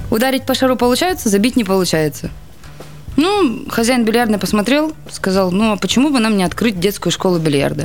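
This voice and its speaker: Fairly high-pitched woman's voice with very wide pitch swings, very even loudness and a fairly quick pace, music in the background. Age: 20s. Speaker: billiards champion. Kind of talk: radio interview. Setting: radio studio.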